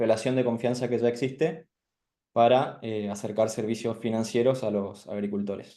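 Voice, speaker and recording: A man speaks at a moderate pace with an Argentine accent, his medium-pitched voice dark and mellow, his intonation fairly even, and audible room echo around him. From Argentina. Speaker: startup founder. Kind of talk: startup pitch. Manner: halting, many fillers.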